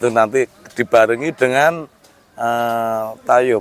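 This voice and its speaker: A medium-pitched male voice with a dry, close sound and no echo. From Central Java, Sragen. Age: 50s. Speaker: traditional music expert. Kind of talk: interview. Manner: halting.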